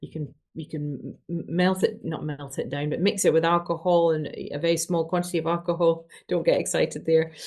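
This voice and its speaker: Over a quiet background, a woman with a Scottish accent speaks quickly enough, fairly fast, in a fairly low, monotone, flat voice. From Scotland, Glasgow. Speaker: doctor. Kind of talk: interview.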